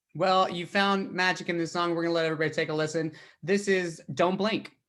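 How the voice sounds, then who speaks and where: Flat and monotone, a man with a high pitch and a Southern US accent speaks at a very fast pace in a very clean recording with a silent background. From Tennessee, small town. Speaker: podcast host, country singer-songwriter. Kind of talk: casual interview chat.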